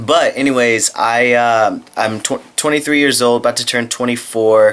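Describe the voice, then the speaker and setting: A man speaks with fairly even intonation at a moderate pace, noticeable background noise behind him. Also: medium pitch for a man. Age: 20s. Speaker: vlogger. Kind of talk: casual vlog monologue. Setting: lying in bed at home. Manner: casual, halting with fillers.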